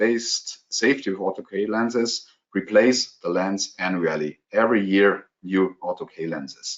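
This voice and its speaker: A man with a German accent speaks at a fairly low pitch with fairly even intonation. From Germany. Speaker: contact lens specialist. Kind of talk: webinar Q&A. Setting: online webinar. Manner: halting, many fillers.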